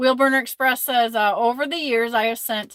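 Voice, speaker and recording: A woman speaks at a moderate pace with an American accent, her pitch high and her tone bright and sharp. The sound is dry and close, with no echo. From Michigan, Flint. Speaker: trucker and live-stream host. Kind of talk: casual live-stream chat reading comments.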